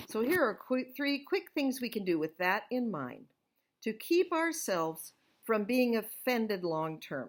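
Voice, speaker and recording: Loud and fairly high-pitched, a woman with an American accent speaks at a fairly slow pace with very wide pitch swings. The recording is very clean, with a silent background. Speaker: author and scripture study teacher. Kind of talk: inspirational talk. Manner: animated.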